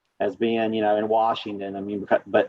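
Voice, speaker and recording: Talking at a fairly quick pace, a man speaks with an Appalachian accent. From Southwest Virginia. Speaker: state environmental official, geologist. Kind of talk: panel interview.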